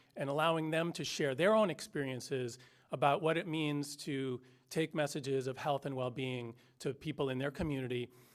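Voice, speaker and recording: The recording is very clean, with a silent background. A man talks at a fairly high pitch with ordinary pitch variation. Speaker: community health organization representative. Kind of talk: prepared remarks at a press conference. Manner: fast; halting, many fillers and restarts.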